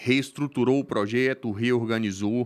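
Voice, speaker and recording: This is a man talking. He keeps a fairly even intonation. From Minas Gerais, Brazil. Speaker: volleyball club manager. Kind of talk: casual interview. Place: studio. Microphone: studio mic.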